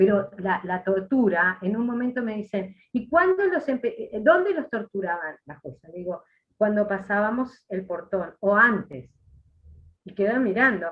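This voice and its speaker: A somewhat breathy female voice at a fairly slow pace, with lively intonation and big swings in loudness. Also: medium pitch for a woman. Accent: Uruguayan. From Uruguay, Treinta y Tres. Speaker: former political prisoner. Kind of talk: interview testimony.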